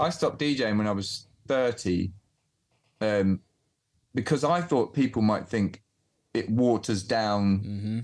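A man talks at a very slow pace, with long, frequent pauses and a quiet background. His pitch is medium, with ordinary variation. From southern England. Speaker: music producer and mixing engineer; guest. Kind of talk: casual interview. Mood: reflective, relaxed. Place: studio.

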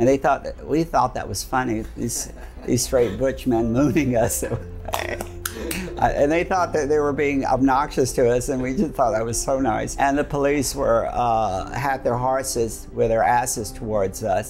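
A man speaks with hardly any pauses over faint background music. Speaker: activist and hairdresser. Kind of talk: oral history interview answer. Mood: warm, amused reminiscing. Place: home room. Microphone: lapel.

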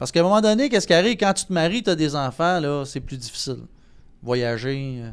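A man in a Quebec accent at a very fast pace, fairly high in pitch, with very wide pitch swings and big swings in loudness. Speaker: entertainer and impressionist. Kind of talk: casual interview conversation.

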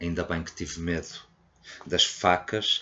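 A man at a very slow pace. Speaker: poetry reader. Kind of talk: poetry reading aloud, intimate and confessional.

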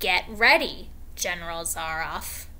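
A woman's put-on character voice, fairly low in pitch, at a fairly slow pace. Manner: grim, determined.

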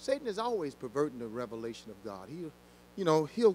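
Swinging very widely in pitch, a man with a fairly high voice talks over light background noise in a dry setting with no echo. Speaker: senior pastor teaching Bible study. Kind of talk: Bible study teaching. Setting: church with congregation. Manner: passionate, preacher-like. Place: church. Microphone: handheld.

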